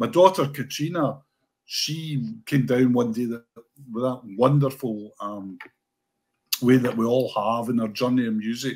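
A man with a Scottish accent speaks at a fairly slow pace, leaving long, frequent pauses. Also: ordinary pitch variation, quiet background. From Scotland. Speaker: sports writer; guest. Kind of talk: casual chat. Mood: warm, reminiscing. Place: home room.

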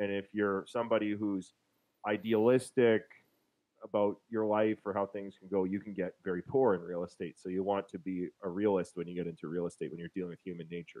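Speaking at a fairly quick pace with a Canadian Prairies accent, a man with a fairly low pitch keeps his intonation fairly even, the sound dry with no echo and the background quiet. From Winnipeg, Manitoba, Canada. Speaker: real estate investor and author; interview guest. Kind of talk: interview over video call. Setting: online call. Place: home room.

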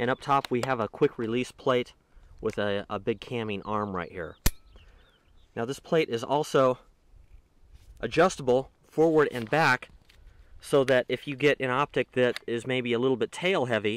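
A man's moderate-paced speech with ordinary pitch variation, long and frequent pauses, and a dry sound with no echo. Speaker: gear reviewer. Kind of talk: tutorial. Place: open country. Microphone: phone near.

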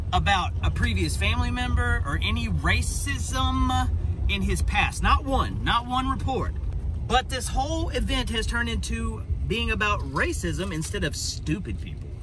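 A man talks at a moderate pace with noticeable background noise behind him. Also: dry sound with no echo. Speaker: vlogger. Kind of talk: casual vlog opinion rant. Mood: exasperated, argumentative. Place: car. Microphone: phone near.

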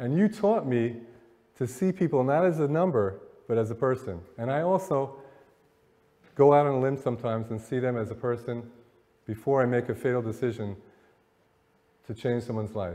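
Using a dark, mellow tone at a medium pitch, a man talks at a fairly quick pace with lively intonation and long, frequent pauses. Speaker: motivational speaker. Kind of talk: live lecture to an audience. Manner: conversational, many filler words. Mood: warm, reflective storytelling. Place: hall. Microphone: podium.

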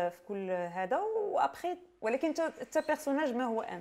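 Speaking with a Moroccan accent, a woman talks at a fairly slow pace with very wide pitch swings. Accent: Moroccan Darija with French code-switching. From Morocco. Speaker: playwright; guest. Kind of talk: interview. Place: shop. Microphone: lapel.

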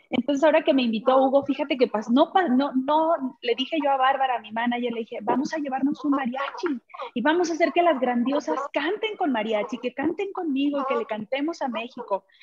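Against noticeable background noise, the voice moves fairly quickly, its pitch varying in an ordinary way. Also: woman, high pitch for a woman. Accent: Mexican. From Mexico. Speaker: ranchera singer. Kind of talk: press conference. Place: home room. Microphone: video call.

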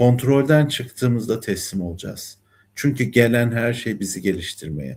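On a very clean recording with a silent background, a voice with vocal fry and a calm, soothing tone shows ordinary pitch variation. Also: man, medium pitch for a man, moderate pace. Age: 60s. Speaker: numerologist and life coach. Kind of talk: spiritual talk monologue. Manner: hesitant fillers.

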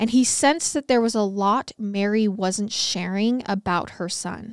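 A woman's fairly high, serious voice at a fairly slow pace, with ordinary pitch variation, a dry sound free of echo, and a quiet background. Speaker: true crime podcast host. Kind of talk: true-crime narration, read aloud from case notes in a steady storytelling voice. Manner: serious, even-paced, measured storytelling. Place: studio. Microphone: studio mic.

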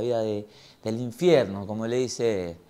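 With an Argentine accent, a man speaks at a fairly quick pace in a dark, mellow tone. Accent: Rioplatense Argentine Spanish. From Argentina. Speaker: podcast host. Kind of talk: casual interview chat; casual intro to camera. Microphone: lapel.

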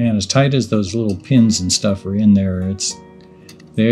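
Fairly low-pitched male voice with fairly even intonation and faint music in the background. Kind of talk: casual tutorial commentary. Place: workshop.

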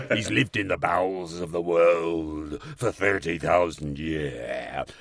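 A man puts on a growling character voice with a very deep, low pitch. He speaks at a very slow pace over light background noise.

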